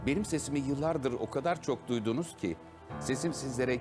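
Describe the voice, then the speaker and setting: The voice moves at a fairly quick pace with very wide pitch swings. Clear music plays in the background. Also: man. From Ankara, Turkey. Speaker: voice actor, dubbing director. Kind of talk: TV documentary narration. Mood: warm, reflective. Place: booth. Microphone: studio mic.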